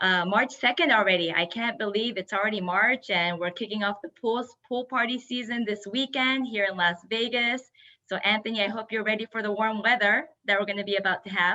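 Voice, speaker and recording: In a Japanese accent, a woman is speaking. Her pace is fairly quick. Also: ordinary pitch variation. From Japan, Yokohama. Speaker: entrepreneur. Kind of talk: webinar presentation.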